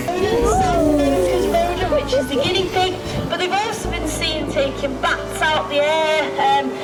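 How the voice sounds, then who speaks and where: Music plays in the background as a woman speaks at a fairly slow pace with very even loudness. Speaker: bird of prey centre handler. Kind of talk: live falconry display commentary.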